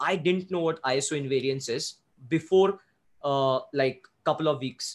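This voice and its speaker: Speaking at a moderate pace, a man with an Indian accent has a fairly high voice. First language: Hindi. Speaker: photographer and YouTuber. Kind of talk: interview conversation. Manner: hesitant, fumbling.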